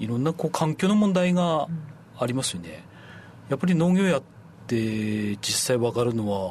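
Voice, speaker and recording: With long, frequent pauses, a somewhat breathy man speaks at a moderate pace and medium pitch, his voice making very wide pitch swings. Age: 40s. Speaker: apple farmer, former hotel worker. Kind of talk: radio interview.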